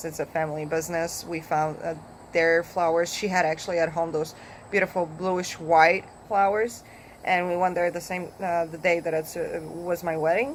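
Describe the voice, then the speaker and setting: A woman with a Polish accent speaks at a moderate pace, her fairly low voice held in fairly even intonation. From Poland. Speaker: vlogger. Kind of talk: casual vlog talk. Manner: halting, with fillers.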